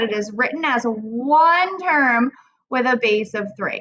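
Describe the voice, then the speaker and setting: A woman raises and projects her voice at a high pitch. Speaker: math teacher. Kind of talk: recorded lesson tutorial. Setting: recorded video lesson.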